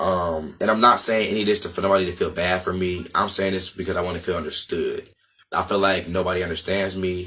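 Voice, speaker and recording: A man's very deep, low voice, flat and monotone, at a very fast pace over music in the background. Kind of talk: casual talk to camera.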